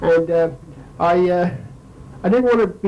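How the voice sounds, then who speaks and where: Over noticeable background noise and audible room echo, a man with an American accent talks at high pitch and a moderate pace with ordinary pitch variation. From Philadelphia, US. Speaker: war veteran. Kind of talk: lecture. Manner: halting.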